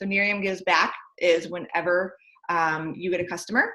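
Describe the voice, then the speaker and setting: Her tone bright and sharp, a woman of medium pitch speaks with fairly even intonation. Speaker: direct sales team leader. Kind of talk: training session. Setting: at home. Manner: fast.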